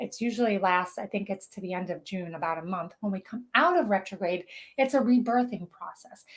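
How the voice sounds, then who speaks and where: A woman speaks at a fairly quick pace in a medium-pitched, somewhat breathy voice, with ordinary pitch variation and big swings in loudness. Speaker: spiritual channeler and show host. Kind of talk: live stream talk. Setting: live video broadcast on social media. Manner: fast; animated.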